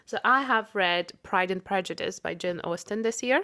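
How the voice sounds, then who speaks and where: In a very clean recording with a silent background, the voice carries a Russian accent and ordinary pitch variation. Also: woman. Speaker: podcast co-host. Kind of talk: casual chat.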